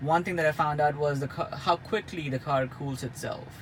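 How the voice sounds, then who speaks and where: Noticeable background noise surrounds the recording. A man speaks with fairly even intonation. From India. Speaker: car reviewer. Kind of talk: product review. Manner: hesitant with many fillers and repetitions.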